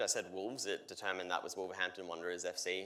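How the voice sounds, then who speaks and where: A man talks at a very fast pace in an Australian accent. His tone is bright and sharp. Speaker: solutions architect. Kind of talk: conference keynote demo. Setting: stage with audience. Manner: energetic.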